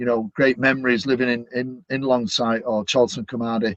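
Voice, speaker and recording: A man speaks very fast with a Manchester accent. His pitch is medium and his intonation fairly even. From Manchester, northern England. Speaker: stadium announcer. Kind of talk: casual interview.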